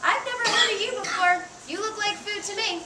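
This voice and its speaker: Squeaky and fairly quick, this put-on character voice plays over clear background noise. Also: woman, extremely high pitch for a woman. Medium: solo performance.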